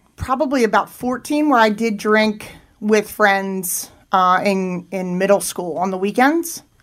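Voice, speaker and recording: A woman with a Philadelphia accent speaks at a fairly slow pace. Her fairly high voice has lively intonation. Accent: Philadelphia-area American. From Pennsylvania, Chester County. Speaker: addiction treatment intake worker in recovery. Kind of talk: interview testimony.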